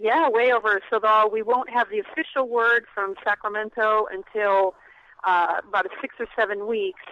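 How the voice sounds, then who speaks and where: Her pitch sits fairly high with ordinary variation, and she has a normal speaking voice. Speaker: ballot initiative activist. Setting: phone call.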